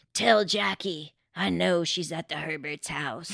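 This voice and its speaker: A raspy, put-on character voice at a middle pitch comes at a fairly slow pace. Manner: ominous, threatening.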